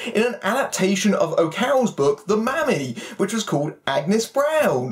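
The man's pitch swings very widely. His pace is moderate. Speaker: film reviewer. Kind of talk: review commentary. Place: home room.

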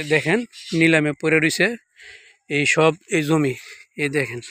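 A man's bright, sharp tone at a fairly high pitch. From Bangladesh, Comilla (Muradnagar). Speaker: local video blogger. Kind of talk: walking video report. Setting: outdoors. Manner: halting.

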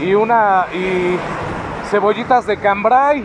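The sound is dry with no echo, there is noticeable background noise, and the pitch varies in an ordinary way. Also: man. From Mexico. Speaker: vlogger. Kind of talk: casual vlog. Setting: outdoors on a scooter. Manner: halting with fillers. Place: street. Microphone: phone near.

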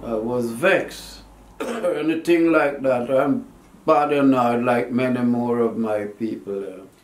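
A man talks at a fairly slow pace with ordinary pitch variation, and audible room echo surrounds his voice. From Jamaica. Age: 80s+. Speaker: war veteran. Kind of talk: interview answer. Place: home room. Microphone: camera far.

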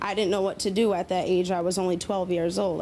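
An American woman speaks at a medium pitch and moderate pace, her intonation monotone and flat, with light background noise. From US. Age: young. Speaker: audience member. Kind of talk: testimony. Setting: studio with audience. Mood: earnest, somewhat regretful. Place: studio. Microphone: handheld.

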